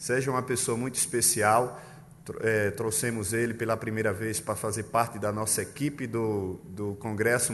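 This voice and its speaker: A man's voice with a strong northeastern Brazilian accent, fairly even intonation and audible room echo. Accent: thick northeastern Brazilian. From Pernambuco, Brazil. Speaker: pastor. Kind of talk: sermon. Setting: church.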